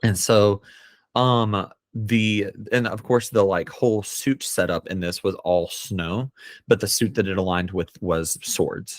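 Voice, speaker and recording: Very clean recording, silent background, of a man with an American accent, fairly low in pitch, at a fairly slow pace with ordinary pitch variation. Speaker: poet. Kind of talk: casual chat. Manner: halting, many fillers.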